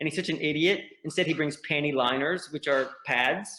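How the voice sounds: A strong Southern accent at a fairly quick pace, with fairly even intonation. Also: man.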